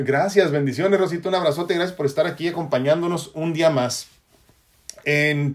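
A man's voice sits high in pitch and carries ordinary pitch variation. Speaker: spiritual life coach. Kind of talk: live stream talk.

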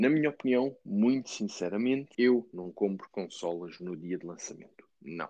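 The speaker keeps a moderate pace with hardly any pauses. Their intonation is lively. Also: man, fairly low pitch for a man, big swings in loudness. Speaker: gaming podcast host. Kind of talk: casual chat. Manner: animated.

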